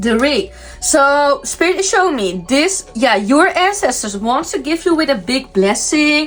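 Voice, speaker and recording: A woman's high-pitched voice at a fairly slow pace, with very wide pitch swings and noticeable background noise. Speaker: tarot reader, spiritual medium. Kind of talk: tarot reading. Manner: halting, many fillers.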